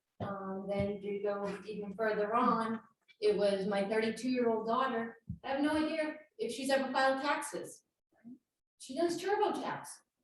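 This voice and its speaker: Fairly high in pitch, a woman talks at a moderate pace with lively intonation as room echo rings audibly around her. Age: 50s. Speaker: insurance and investment advisor. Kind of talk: presentation.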